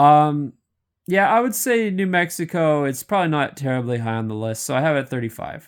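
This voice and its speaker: In a very clean recording with a silent background, a fairly high-pitched man speaks fairly quickly, his pitch swinging very widely. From Canada. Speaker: YouTuber. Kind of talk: casual commentary monologue. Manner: casual, hesitant with many fillers.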